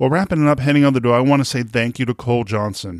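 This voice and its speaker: A man with a Boston accent at a medium pitch, on a very clean recording with a silent background and a dry, close sound with no echo. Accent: Boston, non-rhotic. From Boston area, US. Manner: halting, conversational.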